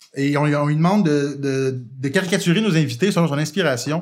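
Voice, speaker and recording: At a fairly quick pace, a man speaks in a normal speaking voice with a fairly high pitch and ordinary pitch variation. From Quebec, Montreal. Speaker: podcast host. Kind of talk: casual chat.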